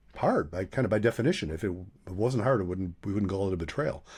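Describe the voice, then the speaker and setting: A man with an American accent and a dark, mellow, somewhat breathy tone, on a very clean recording with a silent background. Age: 70s. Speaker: couples therapist. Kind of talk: podcast interview. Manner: conversational, with frequent fillers and restarts.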